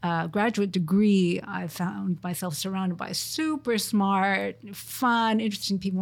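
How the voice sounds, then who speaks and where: This woman's voice is somewhat breathy, sitting at a medium pitch with ordinary pitch variation. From Montreal, Canada. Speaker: research group leader, engineer. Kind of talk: interview.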